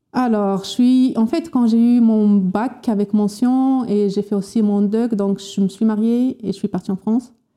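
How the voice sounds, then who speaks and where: A woman's fairly high voice, dark and mellow in tone, fairly slow, with fairly even intonation and very even loudness. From Morocco, Berber oasis region. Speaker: unemployed scientist. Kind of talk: interview testimony. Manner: halting.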